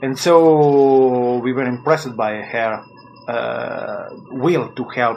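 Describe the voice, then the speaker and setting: In a non-native accent, a man speaks with fairly even intonation amid noticeable background noise and audible room echo. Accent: non-native English, self-taught. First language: Italian. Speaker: musician. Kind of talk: interview. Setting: phone call. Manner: halting.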